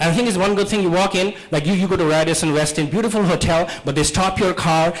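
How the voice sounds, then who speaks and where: Amid noticeable background noise and audible room echo, a man with a high pitch talks at a very fast pace in an animated tone. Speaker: comedian. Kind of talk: stand-up. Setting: stage with audience.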